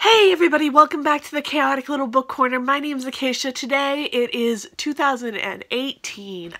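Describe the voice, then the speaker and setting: Her raised, projected voice, high for a woman and bright, sharp in tone, moves at a fairly quick pace with hardly any pauses, lively intonation and big swings in loudness. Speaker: booktuber. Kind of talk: casual vlog chat.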